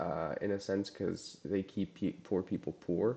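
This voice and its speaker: Dark, mellow tone at a fairly slow pace, with ordinary pitch variation. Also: man. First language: Russian. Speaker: live-streamer teaching SQL. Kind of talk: live-stream tutorial with chat. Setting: live stream. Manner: casual, hesitant with many fillers.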